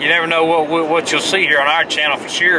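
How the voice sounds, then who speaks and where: A man's voice against noticeable background noise. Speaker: vlogger. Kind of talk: casual vlog chat. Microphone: phone near.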